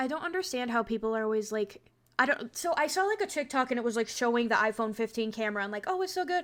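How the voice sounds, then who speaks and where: Very fast and animated, the voice moves through very wide pitch swings. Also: woman, high pitch for a woman. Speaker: makeup content creator. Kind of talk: casual chat.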